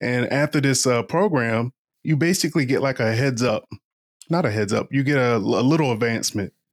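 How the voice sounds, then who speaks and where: A normal speaking voice with an American accent, recorded very cleanly against a silent background, moving at a fairly quick pace with very even loudness and ordinary pitch variation. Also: man, medium pitch for a man. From Eastern Shore of Virginia, US. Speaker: professional oyster shucker and podcaster, Army veteran. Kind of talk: casual interview.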